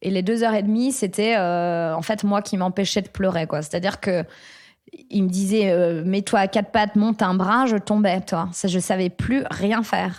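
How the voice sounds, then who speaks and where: At a moderate pace and a medium pitch, a woman speaks on a very clean recording with a silent background. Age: 30s. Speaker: former dancer, fitness coach. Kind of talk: interview, personal story. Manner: halting, many hesitations.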